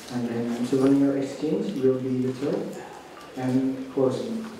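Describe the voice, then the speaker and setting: Over noticeable background noise and a strong room echo, a man talks very slowly with ordinary pitch variation. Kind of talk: formal ceremony announcement. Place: hall.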